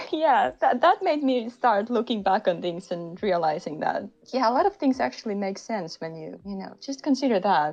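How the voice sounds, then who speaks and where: A woman with a Finnish accent, very wide pitch swings and a moderate pace. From Finland. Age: 30s. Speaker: podcast guest, creative. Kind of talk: casual chat.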